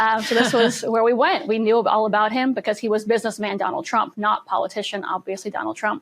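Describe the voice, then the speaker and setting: Against a quiet background, a woman with a New York accent speaks very fast at a fairly high pitch, her intonation fairly even. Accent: New York American. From US, Manhattan, New York City. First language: Russian. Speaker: political spokesperson. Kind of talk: podcast interview.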